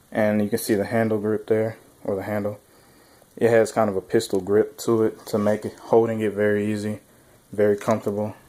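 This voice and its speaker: With an American accent, a man speaks in a fairly low, dark, mellow tone and monotone, flat intonation on a very clean recording with a silent background. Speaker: weapons reviewer. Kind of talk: product demo. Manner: casual.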